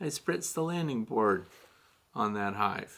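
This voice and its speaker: Speaking at a moderate pace with an American accent, a man uses lively intonation and a bright, sharp tone. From Missouri, US Midwest. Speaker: beekeeper, podcast host. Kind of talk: Q&A podcast monologue.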